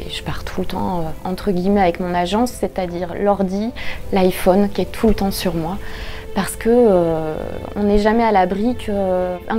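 A woman at a fairly slow pace with fairly even intonation, faint music in the background. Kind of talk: interview answer. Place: office.

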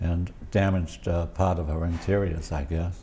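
A man with a low pitch has a dark, mellow tone and vocal fry. His pitch moves very little.

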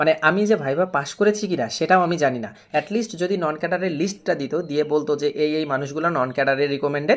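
An ordinary speaking voice. It has ordinary pitch variation. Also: man, fairly high pitch for a man. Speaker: exam prep tutor. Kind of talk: casual talk to camera.

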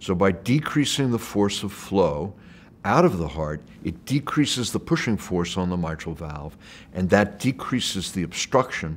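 Very deep and low in pitch, a man's voice is heard. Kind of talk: interview answer. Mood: calm, explanatory. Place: hall. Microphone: lapel.

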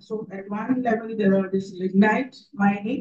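A woman speaks at a fairly slow pace. Her fairly high voice is somewhat breathy. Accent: Indian. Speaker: NGO leader. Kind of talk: panel discussion.

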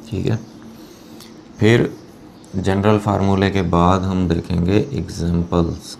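With long, frequent pauses, a man speaks very slowly in a very deep, low voice with fairly even intonation, over light background noise. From Pakistan. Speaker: chemistry teacher. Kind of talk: lecture. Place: classroom. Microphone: lapel.

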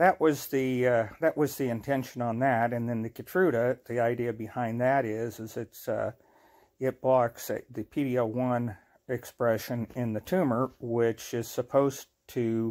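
A man talks at a fairly slow pace, keeping his intonation fairly even. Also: quiet background. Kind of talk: casual vlog chat. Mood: earnest, grateful. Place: home room. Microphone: phone near.

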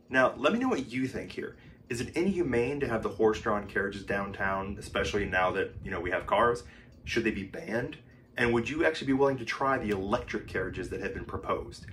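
Very fast speech with lively intonation over light background noise. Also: man. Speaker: travel vlogger. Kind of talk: casual vlog commentary. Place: home room.

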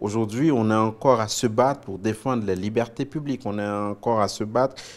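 A man at medium pitch and a fairly quick pace, with ordinary pitch variation. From Haiti, Port-au-Prince; Haiti. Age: 40s. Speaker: TV news anchor and author; TV news anchor. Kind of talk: interview. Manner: hesitant, many fillers and repetitions. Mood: reflective, earnest. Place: studio. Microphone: lapel.

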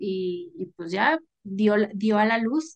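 Against a quiet background, a woman talks at a fairly high pitch with ordinary pitch variation. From Mexicali, Baja California, northern Mexico; Baja California, Mexico. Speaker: author and content creator; interview guest. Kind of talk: casual chat. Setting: video call. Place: home room. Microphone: video call.

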